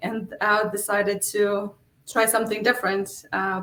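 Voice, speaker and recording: In a Polish accent, a woman speaks at a fairly slow pace with a fairly high pitch and monotone, flat intonation. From Poland. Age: 40s. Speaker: real estate investor. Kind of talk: interview. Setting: livestream.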